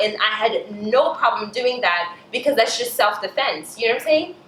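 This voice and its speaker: Noticeable background noise accompanies a woman talking at a very fast pace. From Cameroon. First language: French. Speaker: beauty vlogger. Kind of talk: casual chat. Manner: animated.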